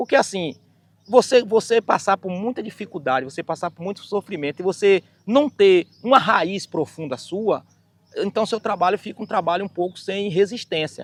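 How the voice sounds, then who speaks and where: A man's high-pitched voice at a moderate pace, with ordinary pitch variation, big swings in loudness, and a dry, close sound with no echo. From Bahia, Brazil (rural Rafael Jambeiro). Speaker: singer and keyboard musician. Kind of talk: documentary interview, life story. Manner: halting, with many repetitions.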